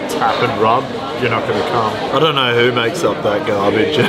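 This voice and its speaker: Loud background noise surrounds a man whose moderate pace and ordinary pitch variation hold through it. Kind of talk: casual vlog chat. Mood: joking, banter. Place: bar. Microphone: phone near.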